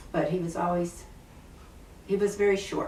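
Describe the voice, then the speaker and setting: A woman with a Midwestern American accent amid noticeable background noise. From Ohio, USA. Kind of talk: interview answer, childhood memories.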